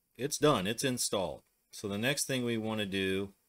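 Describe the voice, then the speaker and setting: With an American accent, a man speaks at a fairly slow pace with ordinary pitch variation against a quiet background. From US Midwest. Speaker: tech tutorial host. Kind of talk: tutorial. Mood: relaxed, casual.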